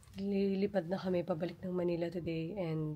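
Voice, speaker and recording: Fairly slow and fairly even in intonation, a woman speaks in a dark, mellow tone at fairly low pitch. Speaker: family vlogger. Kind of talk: casual vlog talk.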